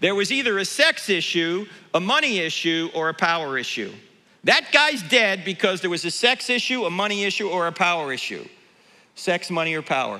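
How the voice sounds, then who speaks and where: Raised and projected, a man's high-pitched voice comes across animated, bright and sharp, with lively intonation at a fairly quick pace. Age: 60s. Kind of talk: conference talk to church audience. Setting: church stage with audience.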